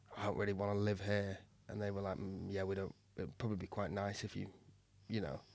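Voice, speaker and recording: A man with a Mancunian accent speaks in a fairly low, monotone, flat voice. He talks very fast yet pauses long and often. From Manchester, northern England. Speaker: comedian. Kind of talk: casual chat. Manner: halting.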